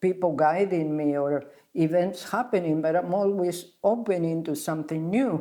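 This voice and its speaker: A woman speaks with an Argentine accent. Her voice is fairly low, with a dark, mellow tone. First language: Spanish. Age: 80s+. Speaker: spa founder, health teacher. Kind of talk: interview. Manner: halting.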